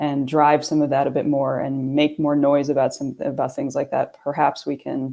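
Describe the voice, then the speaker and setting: Her very deep, low voice has a dark, mellow tone as this woman with a New York accent talks at a moderate pace. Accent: New York American. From New York area, US. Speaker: sustainability consultant. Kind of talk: panel discussion.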